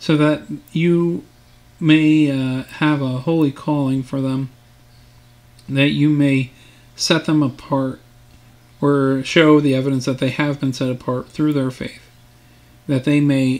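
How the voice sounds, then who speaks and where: Monotone and flat, a man delivers his words at a fairly slow pace. Long, frequent pauses break up his speech. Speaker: Sunday school teacher. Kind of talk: bible lesson then spoken prayer. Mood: calm, earnest.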